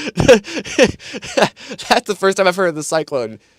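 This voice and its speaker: A man talks in an American accent at a moderate pace, the sound dry and close with no echo. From US Midwest, Michigan. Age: 20s. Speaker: gaming streamer and controller reviewer. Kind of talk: casual live stream chat. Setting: live stream.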